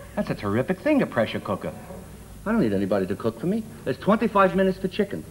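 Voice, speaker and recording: Talking at a very fast pace, a man with an American accent makes very wide pitch swings. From Brooklyn, New York (Brownsville). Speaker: comedian. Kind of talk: talk show comedy chat.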